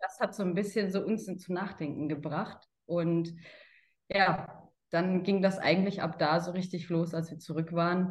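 With a fairly low pitch and a somewhat breathy voice, a woman speaks fairly slowly in a monotone, flat intonation. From Germany, Karlsruhe. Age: 30s. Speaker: sales consultant. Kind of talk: interview.

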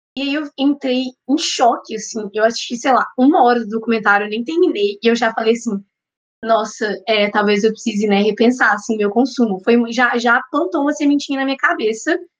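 A woman with a normal speaking voice, fairly high pitch, ordinary pitch variation and a moderate pace. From Minas Gerais, Belo Horizonte. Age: young. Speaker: psychology student and vegan content creator. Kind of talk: casual podcast interview.

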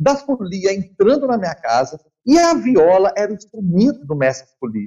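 Speaking at a moderate pace, a man has a high pitch, a dark, mellow tone and very wide pitch swings. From Brazil, Minas Gerais (São João del Rei). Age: 50s. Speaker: viola caipira musician. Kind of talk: interview.

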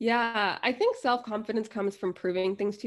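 Speaking with an American accent, a woman uses an unremarkable speaking voice at a fairly quick pace with fairly even intonation. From US, New Jersey and Florida. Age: 20s. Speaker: travel blogger and MBA student. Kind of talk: casual interview.

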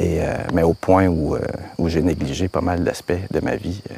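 The speaker is a man with a very deep, low voice. He talks at a moderate pace. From Quebec, Laurentides. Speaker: filmmaker. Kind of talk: casual chat.

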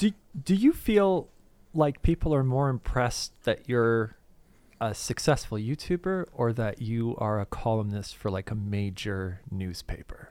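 A man at a medium pitch, very wide pitch swings, a fairly slow pace, on a very clean recording with a silent background. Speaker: podcast co-host. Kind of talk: casual chat.

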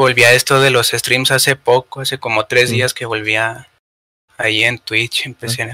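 A man with a Mexican accent talks in a bright, sharp tone and monotone, flat intonation, the sound dry and close with no echo. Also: medium pitch for a man, moderate pace. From Mexico. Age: 20s. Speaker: podcast producer. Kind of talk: casual chat.

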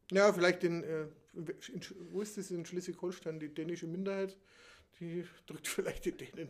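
The intonation stays fairly even. Long pauses come often. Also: man, high pitch for a man, moderate pace. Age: 50s. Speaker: podcast co-host. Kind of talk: casual chat.

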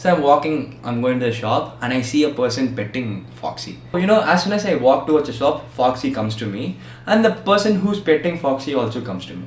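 This man talks fairly quickly at a medium pitch, with very wide pitch swings and big swings in loudness. Audible room echo and noticeable background noise fill the recording. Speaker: podcast host. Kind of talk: casual chat.

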